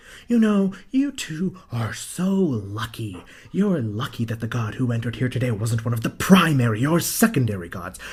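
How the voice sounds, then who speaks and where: Using a put-on character voice, a man talks at a moderate pace and medium pitch with hardly any pauses. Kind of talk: audio drama performance. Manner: stern, scolding.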